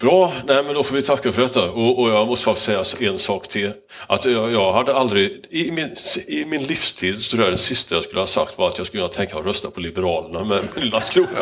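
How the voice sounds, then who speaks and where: A man speaks very fast at a medium pitch, his voice swinging very widely up and down. Noticeable background noise runs behind him. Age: 60s. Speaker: moderator. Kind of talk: panel discussion.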